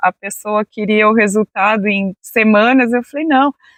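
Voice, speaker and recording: Her fairly high voice has a calm tone. The woman speaks at a fairly slow pace. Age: 40s. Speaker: interview guest sharing personal healing story. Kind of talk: casual interview testimony.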